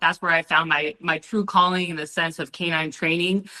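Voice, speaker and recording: A woman's fairly low voice in an energetic, bright, sharp tone, at a fairly quick pace against a quiet background. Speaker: Marine Corps veteran and dog trainer. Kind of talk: casual interview. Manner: loud.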